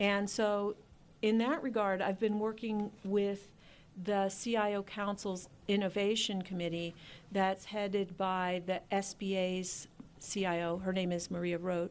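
This woman talks at a fairly slow pace in a monotone, flat way. Her pitch is medium, and she has an American accent. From Philadelphia, US. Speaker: government chief information officer. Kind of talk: radio interview.

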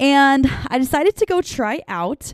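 Recorded very cleanly against a silent background, with a dry, close sound and no echo, a woman with an American accent speaks with very wide pitch swings. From US Northwest, eastern Washington State. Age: 20s. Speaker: podcast host. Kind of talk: casual chat. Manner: casual, laughing often.

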